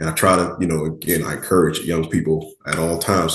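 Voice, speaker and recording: This man, with an American accent, talks at a fairly quick pace in a somewhat breathy voice. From Miami, Florida. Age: 30s. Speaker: firefighter-paramedic. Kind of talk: interview. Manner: casual, conversational.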